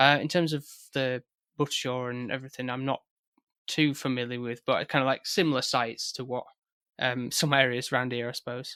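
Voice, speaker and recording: In a Yorkshire accent, the voice has a bright, sharp tone and flat, monotone intonation at a fairly quick pace, recorded very cleanly with a silent background and a dry, close sound with no echo. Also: man, medium pitch for a man. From West Yorkshire, near Haworth. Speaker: film podcast guest. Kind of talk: casual chat. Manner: halting.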